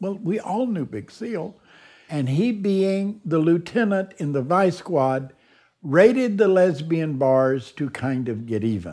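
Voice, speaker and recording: Recorded very cleanly against a silent background, a man speaks with a Texan accent at a very slow pace. His high voice moves in very wide pitch swings. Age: 70s. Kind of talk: documentary interview storytelling. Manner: colorful, humorous raconteur.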